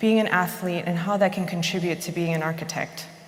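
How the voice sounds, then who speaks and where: A woman speaks with fairly even intonation, and the recording carries noticeable background noise and audible room echo. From Chicago suburbs, US Midwest. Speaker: architect. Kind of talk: conference talk. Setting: stage with audience.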